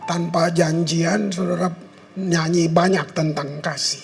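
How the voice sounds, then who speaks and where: Over noticeable background noise and audible room echo, a man with a high voice talks very slowly and with fairly even intonation. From Ambon, Maluku, Indonesia. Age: 70s. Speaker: pastor. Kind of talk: sermon. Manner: conversational, informal.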